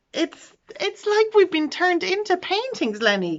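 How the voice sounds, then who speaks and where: A woman's squeaky, put-on character voice, extremely high-pitched, with very wide pitch swings and a moderate pace. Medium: read story.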